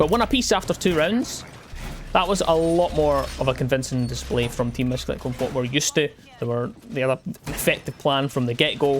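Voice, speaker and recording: Noticeable background noise sits behind the voice. The speech moves at a fairly quick pace with a Scottish accent. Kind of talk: esports commentary.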